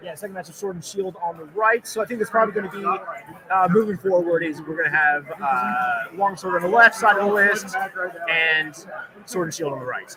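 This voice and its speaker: A man talks at a fairly quick pace in a high pitch, his loudness swinging widely. Background noise is noticeable. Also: ordinary pitch variation. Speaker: live event commentator. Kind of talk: live commentary. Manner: fast; animated.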